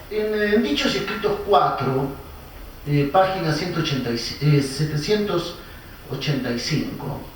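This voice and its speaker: Against noticeable background noise and audible room echo, a man with a fairly high pitch speaks with lively intonation. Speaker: philosophy professor, conference speaker. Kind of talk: academic lecture. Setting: conference with live audience and interpreter. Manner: hesitant, many fillers.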